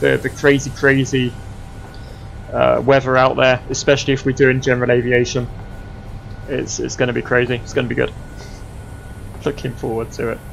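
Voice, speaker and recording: With music in the background, a man at a medium pitch talks at a fairly quick pace. His intonation is monotone and flat, broken by long, frequent pauses. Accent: Essex. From Essex, England. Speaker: flight sim streamer. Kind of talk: casual livestream chat.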